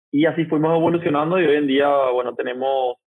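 At a moderate pace, a man talks with fairly even intonation in a plain, everyday voice. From Paraguay. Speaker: agtech company founder. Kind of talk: interview.

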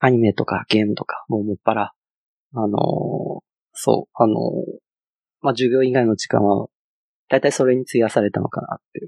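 A man speaks at a moderate pace and medium pitch, with long, frequent pauses. His intonation is fairly even. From China. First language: Chinese (speaking Japanese). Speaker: front-end engineer. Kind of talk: casual chat. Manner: halting, many fillers.

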